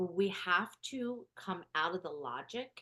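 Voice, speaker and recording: Loud and very slow, a woman speaks with a bright, sharp tone and lively intonation. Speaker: spiritual business coach. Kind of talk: live group coaching call. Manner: projects voice, louder.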